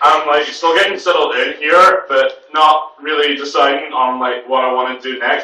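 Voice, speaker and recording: A drawling put-on character voice at a moderate pace, with fairly even intonation, hardly any pauses and a slight echo. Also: man, fairly high pitch for a man. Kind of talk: comic overacting. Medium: read story. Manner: drawling, filler-heavy, says "like" and "totally".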